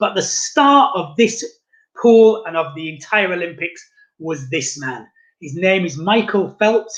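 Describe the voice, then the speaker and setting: A man speaks with a British accent and lively intonation. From England. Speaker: tourist guide. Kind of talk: virtual guided tour presentation. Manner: fast.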